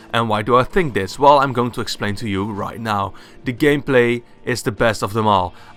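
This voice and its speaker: Against music in the background, a man with a Dutch accent speaks at a medium pitch and a fairly quick pace with ordinary pitch variation. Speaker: gaming YouTuber. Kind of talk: casual video game review monologue.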